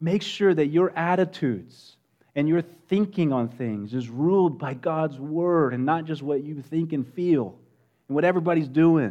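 With an American accent, a man speaks at a fairly high pitch. His tone is dark and mellow, over a quiet background. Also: ordinary pitch variation, moderate pace. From West Texas. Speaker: pastor. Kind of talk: sermon. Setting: church.

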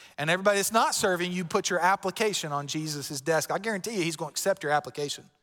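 A man talks at a very fast pace in a Southern US accent. His voice is high in pitch, with a bright, sharp tone. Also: ordinary pitch variation, hardly any pauses. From Florida. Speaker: pastor. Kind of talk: sermon. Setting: church.

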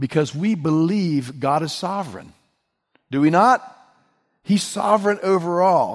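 In a very clean recording with a silent background, a man with an American accent speaks fairly slowly at a fairly high pitch. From West Virginia. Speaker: pastor. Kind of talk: sermon.

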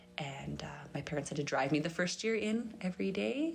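A woman talks with a Canadian accent at a fairly quick pace. Vocal fry runs through her voice. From Grand Prairie, Alberta, Canada. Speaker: podcast host, church women's ministry volunteer. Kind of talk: interview as guest, casual chat.

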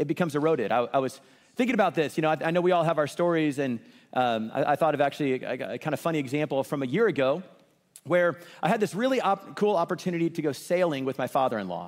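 With lively intonation and an American accent, the speaker races along at a very fast pace on a very clean recording with a silent background. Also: man, fairly high pitch for a man. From US Midwest, Kansas City. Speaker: pastor. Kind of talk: sermon. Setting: church.

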